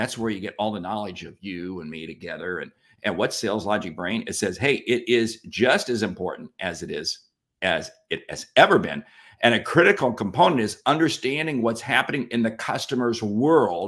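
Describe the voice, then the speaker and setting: Here is a man with a normal speaking voice and medium pitch at a moderate pace. His intonation is lively and his loudness swings a lot. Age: 60s. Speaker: sales expert co-host. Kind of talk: casual chat.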